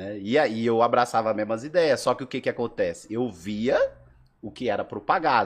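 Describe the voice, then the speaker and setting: The man has an unremarkable speaking voice with medium pitch and ordinary pitch variation. He talks at a moderate pace against a quiet background. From Brazil, Alagoas. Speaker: breakdancer. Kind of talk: casual chat.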